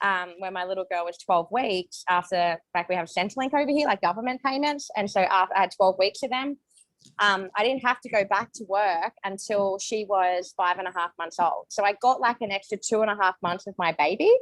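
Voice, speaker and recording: A woman with an Australian accent at a fairly quick pace, hardly any pauses, ordinary pitch variation, and dry, close sound with no echo. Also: medium pitch for a woman. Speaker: network marketing distributor. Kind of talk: testimony. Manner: fast.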